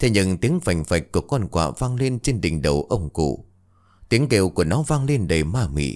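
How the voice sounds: The voice is a natural reading voice. It is read aloud.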